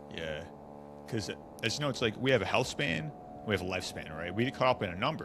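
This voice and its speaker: A man with a very deep, low voice talks very fast, with very wide pitch swings. He leaves long, frequent pauses. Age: 20s. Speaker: wellness podcast host. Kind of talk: interview.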